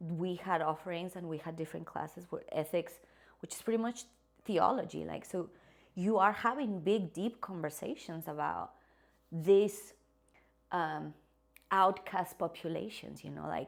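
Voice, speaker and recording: Her voice fairly low and marked by vocal fry, a woman talks with ordinary pitch variation and long, frequent pauses. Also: moderate pace. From Mexico (Guadalajara). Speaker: psychologist, actress, educator. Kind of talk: interview answer.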